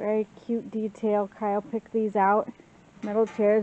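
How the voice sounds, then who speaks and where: Music plays in the background. A woman speaks at a fairly slow pace. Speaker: home vlogger. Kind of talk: casual vlog chat. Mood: cheerful, relaxed. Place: garden. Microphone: phone near.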